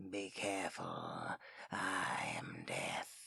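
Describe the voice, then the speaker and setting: A put-on character voice, low-pitched and growling, over light background noise. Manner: warning, menacing.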